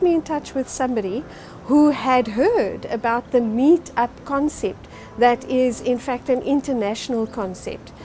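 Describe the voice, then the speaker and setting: Fairly slow, high-pitched speech from a woman, with ordinary pitch variation over noticeable background noise. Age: 50s. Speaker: social group member. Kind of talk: interview testimony.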